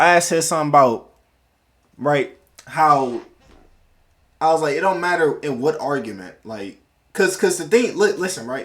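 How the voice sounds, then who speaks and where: Animated in tone, a man with a fairly high pitch uses lively intonation at a moderate pace, leaving long, frequent pauses. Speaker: livestreamer. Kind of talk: casual chat. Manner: loud.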